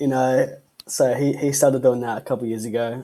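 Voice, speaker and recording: A man speaks with an Australian accent. His intonation is flat and monotone. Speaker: band musician. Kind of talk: casual interview.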